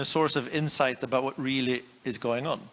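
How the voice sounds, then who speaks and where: Here a man talks at a moderate pace. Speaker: conference presenter. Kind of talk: conference presentation. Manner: hesitant, many fillers.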